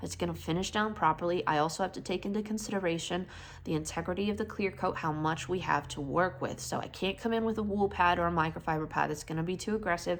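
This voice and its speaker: A woman with a fairly low pitch and vocal fry talks at a very fast pace with hardly any pauses and ordinary pitch variation. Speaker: car detailer, vlogger. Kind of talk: casual vlog explanation. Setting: garage workshop.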